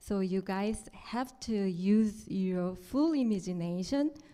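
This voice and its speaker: A woman with a Korean accent speaks in a dark, mellow tone. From South Korea. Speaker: artist. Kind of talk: artist talk. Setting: stage with audience. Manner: halting, non-native phrasing.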